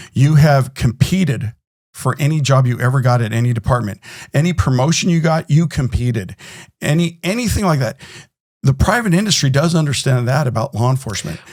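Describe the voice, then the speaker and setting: A man's somewhat breathy, medium-pitched voice in an American accent, at a fairly quick pace with lively intonation. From California. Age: 60s. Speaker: security company executive, former police officer. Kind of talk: podcast interview. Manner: animated.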